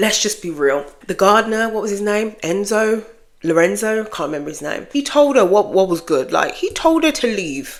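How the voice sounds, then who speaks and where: A woman speaks with a British accent at a moderate pace. Her pitch sits in the medium range and swings very widely. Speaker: book vlogger. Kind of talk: casual chat. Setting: home office. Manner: casual, unscripted.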